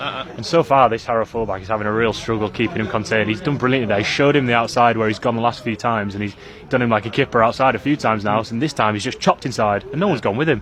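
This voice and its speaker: Energetic in tone, a man talks at a very fast pace in a medium pitch with ordinary pitch variation, with noticeable background noise behind him. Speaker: football match commentator. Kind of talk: live radio football commentary. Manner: fast, energetic, fluent.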